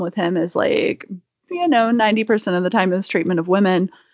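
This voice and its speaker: A woman's ordinary speaking voice with lively intonation at a moderate pace. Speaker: comic and film fan guest. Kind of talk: casual chat.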